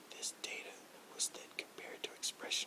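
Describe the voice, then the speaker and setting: Someone whispers over noticeable background noise. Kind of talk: ASMR reading of a science journal article. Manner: whispered.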